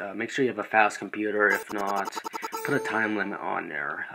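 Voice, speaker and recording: Music playing behind a man's fairly low-pitched voice. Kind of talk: screen-recorded software tutorial. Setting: low-quality microphone. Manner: hesitant, many filler words.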